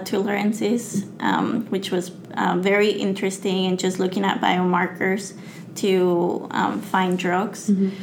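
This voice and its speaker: A woman's medium-pitched voice with a Spanish accent, flat monotone intonation and a fairly slow pace, over noticeable background noise. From Mexico. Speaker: graduate student and science communicator. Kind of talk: interview.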